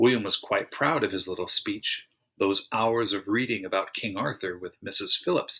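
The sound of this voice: It is an unforced reading voice set against a quiet background.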